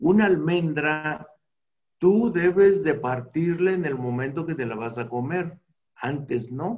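Very slowly, a man talks with lively intonation. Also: fairly high pitch for a man. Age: 60s. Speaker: anthropologist and natural medicine expert. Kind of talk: interview about health.

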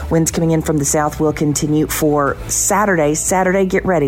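Amid noticeable background noise, the speaker moves at a fairly quick pace with an upbeat tone. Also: woman. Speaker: meteorologist. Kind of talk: weather forecast. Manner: bright, steady, upbeat.

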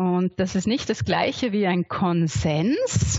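The woman's voice is somewhat breathy. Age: 40s. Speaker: sociocracy facilitator and trainer. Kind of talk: interview.

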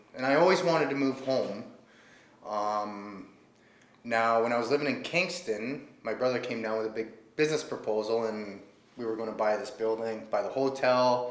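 A man with a Canadian accent, medium pitch and ordinary pitch variation, at a moderate pace, with audible room echo. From Ontario, Canada. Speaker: brewery and bar owner. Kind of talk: casual interview. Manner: hesitant, many fillers.

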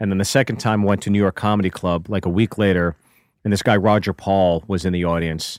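In a very clean recording with a silent background and a dry, close sound with no echo, a man with an American accent and a normal speaking voice talks at a fairly quick pace, his fairly low pitch held in fairly even intonation. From Pittsburgh, US. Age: 40s. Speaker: comedian. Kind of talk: casual chat. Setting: studio.

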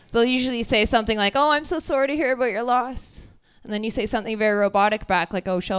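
Speaking very fast with an animated tone and lively intonation, the voice carries a Canadian accent in a very clean recording with a silent background. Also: woman. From Ontario, Canada (Brantford). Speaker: comedian. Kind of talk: stand-up. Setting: stage with audience.

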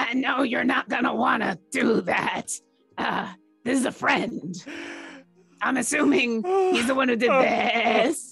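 A raspy, put-on character voice with a fairly high pitch moves at a fairly slow pace with long, frequent pauses. Faint music plays in the background. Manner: odd put-on voice, humoring.

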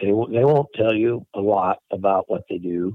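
With ordinary pitch variation at a moderate tempo, this is an ordinary speaking voice. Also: man. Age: 60s. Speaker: crop duster pilot, business owner. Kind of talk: interview.

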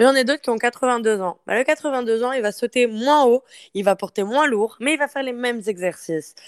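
In a very clean, dry recording with a silent background and no echo, a woman speaks at a moderate pace in a fairly high pitch with lively intonation. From France. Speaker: fitness coach. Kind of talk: casual interview.

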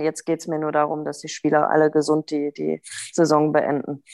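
A woman talks in a monotone with flat intonation and a very deep, low pitch. The background is quiet. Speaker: co-host and ice hockey coach. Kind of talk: casual chat.

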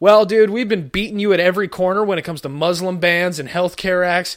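On a very clean recording with a silent background, a high-pitched man speaks at a fairly quick pace in an animated tone. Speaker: podcast host. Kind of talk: stand-up-style comedic rant, self-deprecating riffs and political jokes. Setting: home recording, unedited, recorded live. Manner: animated, sarcastic, rambling with frequent verbal tics and self-interruptions.

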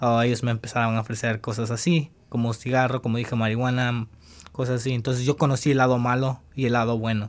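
A man's very fast speech with monotone, flat intonation. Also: medium pitch for a man. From El Salvador. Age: 20s. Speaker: former high school soccer player, immigrant. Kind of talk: interview testimony.

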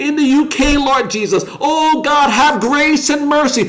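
With ordinary pitch variation, the speech unfolds at a fairly slow pace against noticeable background noise. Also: man. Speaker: online prayer leader. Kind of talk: fervent intercessory prayer, petitioning God for healing and deliverance. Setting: livestream broadcast. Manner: impassioned and repetitive, piling up 'Lord God' and 'oh God' refrains; rising, declarative cadence building to proclamations of God's power.

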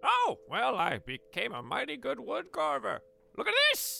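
A man talks at a moderate pace in a put-on character voice. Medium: actual play. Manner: hesitant, rambling, friendly.

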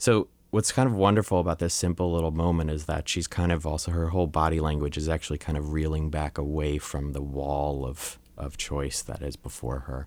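Speaking at a fairly quick pace, a man has a very deep, low pitch with ordinary variation. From US, Long Island, New York. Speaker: photographer and photography teacher. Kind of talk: interview.

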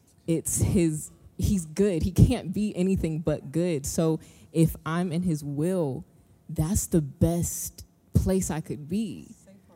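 At a very slow pace, a woman speaks with a fairly low pitch, ordinary pitch variation and big swings in loudness while music plays in the background. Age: 20s. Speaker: single church member. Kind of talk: testimony.

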